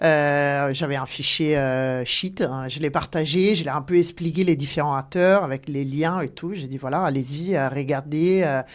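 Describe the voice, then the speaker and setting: Very deep and low, a woman's voice moves at a fairly slow pace with hardly any pauses and ordinary pitch variation. Noticeable background noise runs underneath. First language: not French (speaking French). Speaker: talent acquisition director. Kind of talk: podcast interview. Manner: halting, many hesitations.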